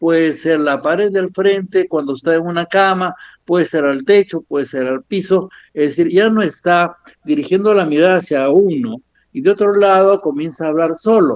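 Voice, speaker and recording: A man speaks at a moderate pace, his voice pitched high for a man with ordinary pitch variation. The sound is dry and close, with no echo. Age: 70s. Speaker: physician lecturer. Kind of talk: lecture. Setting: at home.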